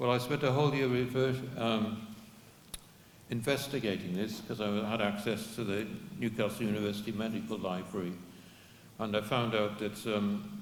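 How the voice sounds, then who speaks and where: Audible room echo surrounds a man speaking at a moderate pace and fairly low pitch, his intonation fairly even and his speech broken by long, frequent pauses. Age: 70s. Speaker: activist giving a history talk. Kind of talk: talk to an audience with Q&A. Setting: public event with audience. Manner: halting, with many repeats.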